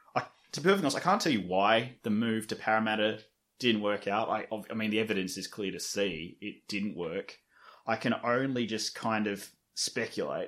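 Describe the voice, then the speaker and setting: On a very clean recording with a silent background, a man with an Australian accent speaks fairly quickly in a fairly low pitch with ordinary pitch variation. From Sydney inner west, Australia. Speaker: rugby league media creator. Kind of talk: casual chat.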